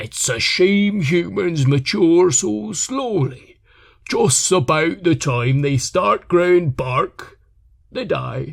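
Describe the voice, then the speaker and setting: In a very clean recording with a silent background, a man does a put-on character voice at a fairly high pitch and a very slow pace. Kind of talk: short story narration.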